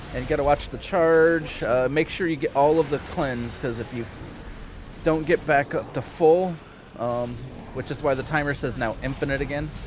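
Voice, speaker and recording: A man's fairly high pitch in fairly even intonation, moderate pace, noticeable background noise. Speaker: video game streamer. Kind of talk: live gameplay commentary. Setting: live stream.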